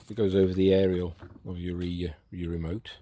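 A man's voice has a dark, mellow tone. The sound is dry, with no echo. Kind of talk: casual vlog chat. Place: garden. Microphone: phone near.

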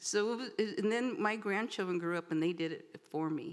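A woman speaks with a Californian accent. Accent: Californian American. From Southern California (San Bernardino area). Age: 70s. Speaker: departing city council member. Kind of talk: farewell speech. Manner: halting.

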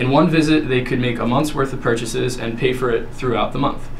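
A man rattles along at a very fast pace, his intonation fairly even, with faint noise in the background. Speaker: presenter. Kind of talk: class presentation. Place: classroom. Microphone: camera far.

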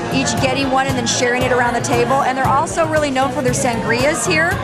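Music plays behind a woman who speaks at a very fast pace. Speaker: restaurant reviewer. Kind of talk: casual vlog chat. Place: bar. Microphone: phone near.

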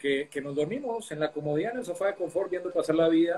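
The pace is very fast as a man talks. His pitch shows ordinary variation. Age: 50s. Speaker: online talk show host, personal growth. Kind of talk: interview on live stream. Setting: live video stream. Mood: calm, warm, reflective. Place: home room. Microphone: video call.

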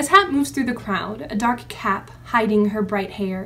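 Someone is reading aloud in a natural voice.

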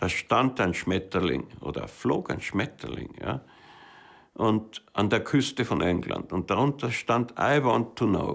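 A man speaks at a very slow pace with vocal fry and lively intonation over a quiet background. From Austria. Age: 80s+. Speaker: mountaineer and filmmaker. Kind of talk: interview answer. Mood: reflective, reminiscing. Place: studio.

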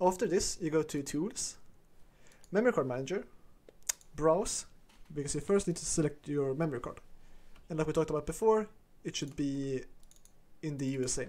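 With a non-native accent, a man speaks at a fairly quick pace in a fairly high voice, with ordinary pitch variation and long, frequent pauses. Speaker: gaming video creator. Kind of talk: screen-recorded tutorial. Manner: casual, many filler uhs.

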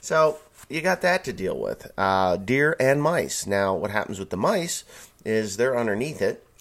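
A man speaks at a moderate pace. His pitch swings very widely. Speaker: farmer vlogger. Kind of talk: casual vlog chat. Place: home room. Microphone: studio mic.

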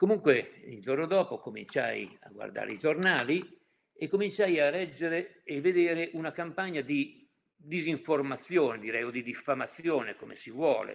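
Using a fairly high pitch with vocal fry, a man speaks at a moderate pace with lively intonation and big swings in loudness. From Mantua, northern Italy; northern Italy. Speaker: activist recounting history; witness. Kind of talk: testimony. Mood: calm, reflective. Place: home room. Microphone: webcam.

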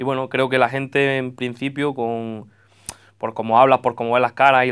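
Over a quiet background, a man speaks at a moderate pace. His intonation stays fairly even. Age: 20s. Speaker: football coach. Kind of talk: radio interview. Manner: halting. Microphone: handheld.

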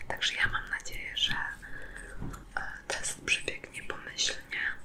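Whispering from a woman at a fairly slow pace, with noticeable background noise. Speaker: ASMR creator. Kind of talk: ASMR makeup product test, casual talk to camera.

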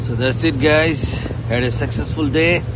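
Noticeable background noise sits behind a man's voice, recorded dry with no echo. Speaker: angler vlogger. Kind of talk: casual vlog chat. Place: boat. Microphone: phone near.

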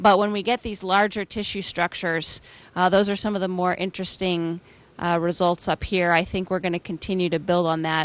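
The sound is dry with no echo as a woman speaks in a fairly even intonation. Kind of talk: interview answer. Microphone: handheld.

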